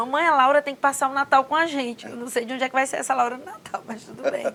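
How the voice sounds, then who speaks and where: A woman speaks with a strong northeastern Brazilian accent. Her pitch is high, with ordinary variation. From Northeast Brazil, Mossoró (Rio Grande do Norte). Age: 40s. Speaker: government official. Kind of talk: interview.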